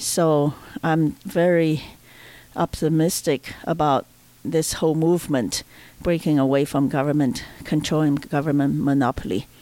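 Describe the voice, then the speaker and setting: A woman with a very deep, low voice and a dark, mellow tone talks fairly slowly at a very even loudness. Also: ordinary pitch variation. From China. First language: Chinese. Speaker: libertarian activist. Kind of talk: casual chat. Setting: at home roundtable. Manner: halting.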